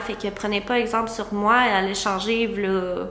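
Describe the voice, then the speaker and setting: Someone speaks at a fairly slow pace in a Quebec accent, with audible room echo. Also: woman. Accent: Québécois French. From Quebec, Gaspé peninsula. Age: 20s. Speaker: content creator, vlogger. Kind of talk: casual chat to camera. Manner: hesitant, many fillers.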